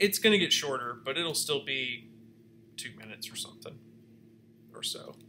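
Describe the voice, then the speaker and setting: With a bright, sharp tone and medium pitch, a man talks at a moderate pace with lively intonation, big swings in loudness, long, frequent pauses and light background noise. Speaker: video editing class instructor; instructor. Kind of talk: workshop tutorial. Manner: casual, filler-heavy. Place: home room. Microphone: webcam.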